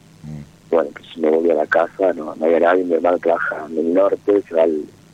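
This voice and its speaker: This man has a very deep, low pitch and a fairly quick pace. Noticeable background noise runs behind him. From Jujuy, Argentina. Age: 30s. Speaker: caller. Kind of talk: personal call-in talk. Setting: phone call. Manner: halting.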